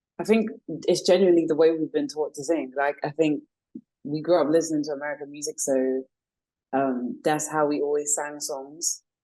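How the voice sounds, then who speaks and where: A woman with a British accent, very deep and low in pitch, in a dark, mellow tone, at a fairly quick pace with fairly even intonation and long, frequent pauses. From South London, England. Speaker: R&B singer. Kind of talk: interview.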